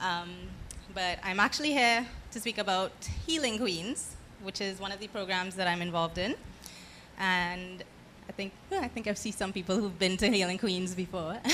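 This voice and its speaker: A soft-spoken woman's bright, sharp voice at medium pitch and moderate pace, with ordinary pitch variation and long, frequent pauses. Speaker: dancer and dance teacher. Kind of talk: panel talk to audience.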